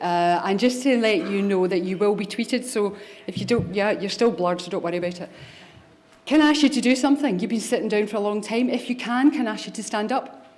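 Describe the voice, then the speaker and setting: A woman with a Scottish accent talks at a very fast pace, her pitch fairly high with ordinary variation. Audible room echo and noticeable background noise are present. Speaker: government chief pharmacist. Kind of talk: conference keynote speech. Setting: stage with audience.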